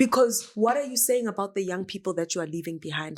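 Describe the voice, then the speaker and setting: A woman's medium-pitched voice with a South African accent and lively intonation, on a very clean recording with a silent background. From South Africa, Soweto. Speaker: dancer and performer. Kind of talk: podcast interview.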